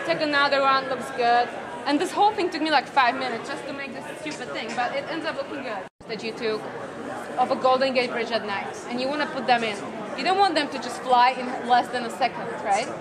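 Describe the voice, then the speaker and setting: Crowd noise fills the background as a woman speaks at a fairly quick pace with ordinary pitch variation. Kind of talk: casual explanation in conversation. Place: hall.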